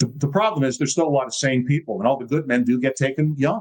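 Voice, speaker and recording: A man talks at a fairly quick pace, his pitch fairly high for a man, with ordinary pitch variation. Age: 60s. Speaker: political movement founder and writer. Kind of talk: casual interview conversation. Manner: animated.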